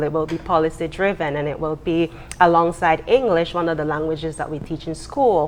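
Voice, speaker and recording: Her pitch is fairly low for a woman, with ordinary pitch variation. She speaks at a fairly quick pace over noticeable background noise. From Belize. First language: Belize Kriol. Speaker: university lecturer and writer. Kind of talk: TV interview.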